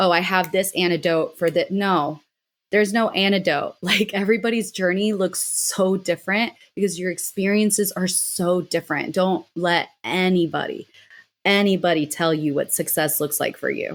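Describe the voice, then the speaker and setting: A woman with an unremarkable speaking voice talks at a moderate pace, her pitch medium and her intonation fairly even. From Mexico City, Mexican family, raised in US. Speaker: miniature artist and witch. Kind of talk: casual interview chat.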